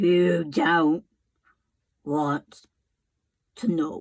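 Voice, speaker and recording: A woman's put-on character voice, pitched fairly low. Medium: read story. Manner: slow.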